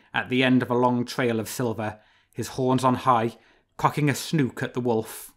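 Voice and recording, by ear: The background is hushed. A natural voice reads the text aloud.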